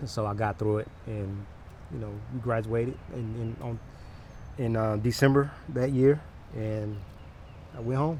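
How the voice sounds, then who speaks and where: Quiet and somewhat breathy, a man speaks at a moderate pace in a dark, mellow tone with an American accent. His pitch is medium with ordinary variation, and he takes long, frequent pauses. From Atlanta, Georgia. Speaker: car detailer, former US Marine. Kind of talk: interview answer. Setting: outdoors. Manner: quiet, unassuming.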